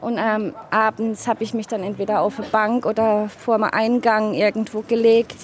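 Against noticeable background noise, a woman with a fairly high voice talks at a moderate pace in a flat monotone, hardly pausing at all. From south-west Germany, Offenburg (Baden). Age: 40s. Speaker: interviewee, partner of a migrant. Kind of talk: interview testimony.

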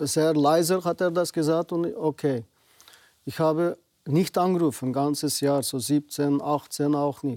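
At a fairly slow pace, a man with a Uyghur accent speaks in a fairly high pitch and dark, mellow tone with ordinary pitch variation. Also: dry, close sound with no echo. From Xinjiang, western China (Uyghur). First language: Uyghur (speaking German). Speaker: naturopath and community association president. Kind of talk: TV interview. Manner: halting.

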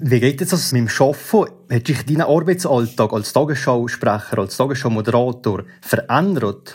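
An unremarkable speaking voice from a man at medium pitch, moderate pace and lively intonation, with hardly any pauses. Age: 20s. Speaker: listener asking questions. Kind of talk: interview.

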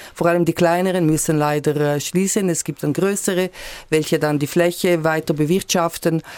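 The intonation is monotone and flat, and the pace is moderate. Loudness stays very even throughout. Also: woman, fairly low pitch for a woman. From Switzerland, Graubünden. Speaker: member of national parliament. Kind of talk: radio political discussion. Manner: halting.

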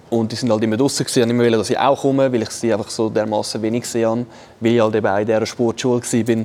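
Over noticeable background noise, a man talks at a very fast pace with very even loudness and flat, monotone intonation. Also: medium pitch for a man. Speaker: esports ice hockey player, former ice hockey goalie. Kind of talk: casual chat. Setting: studio.

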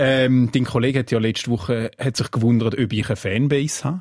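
This man talks at a very fast pace with ordinary pitch variation. His pitch sits in the medium range. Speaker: podcast co-host. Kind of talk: casual chat podcast.

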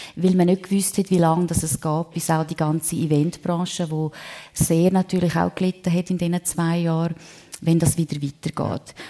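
This woman's voice sits fairly low with a dark, mellow tone. Her delivery is monotone and flat. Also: moderate pace. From Switzerland, Prättigau (Graubünden). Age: 50s. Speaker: singer and real estate entrepreneur. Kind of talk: live radio talk show interview. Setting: restaurant event venue with live audience.

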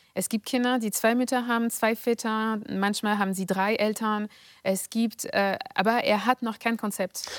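A woman speaks in a monotone, flat way, and the very clean recording has a silent background and a dry, close sound with no echo. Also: fairly high pitch for a woman, moderate pace. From France, near Paris. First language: French (speaking German). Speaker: political scientist and author. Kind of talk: interview. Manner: hesitant, many fillers.

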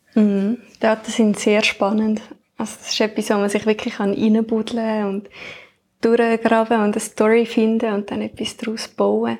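A woman speaks at a moderate pace in a fairly high voice, her intonation flat and monotone. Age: 20s. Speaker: podcast co-host, new team member. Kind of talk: casual chat. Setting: at home, dining table.

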